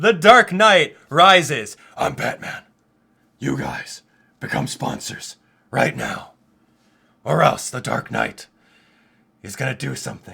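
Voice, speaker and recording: A man puts on a raspy character voice. He speaks at a fairly slow pace with long, frequent pauses. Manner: menacing, gravelly.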